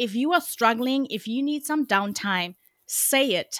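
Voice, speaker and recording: On a very clean recording with a silent background and a dry, close sound with no echo, a woman with a South African accent speaks in a bright, sharp, animated tone with very wide pitch swings. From South Africa, Cape Town. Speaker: communications coach. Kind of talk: interview.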